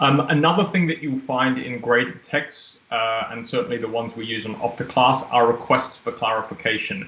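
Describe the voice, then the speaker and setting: A man speaks at a moderate pace with ordinary pitch variation and hardly any pauses, and the room echo is audible. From Australia. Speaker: ESL teacher trainer. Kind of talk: webinar presentation. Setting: video call. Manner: formal. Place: home room. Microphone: webcam.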